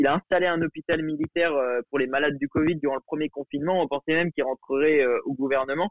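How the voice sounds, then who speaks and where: A man's fairly high voice, very fast, with fairly even intonation. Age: young. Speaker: journalism student. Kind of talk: casual interview. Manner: halting.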